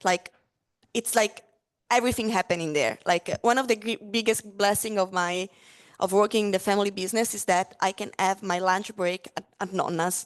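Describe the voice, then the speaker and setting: A woman with an Italian accent talks at a fairly quick pace with fairly even intonation. The sound is dry and close, with no echo. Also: medium pitch for a woman. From Italy, Friuli Venezia Giulia. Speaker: spirits brand ambassador. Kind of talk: casual interview at a live tasting. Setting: live-streamed tasting with audience. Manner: hesitant, many fillers.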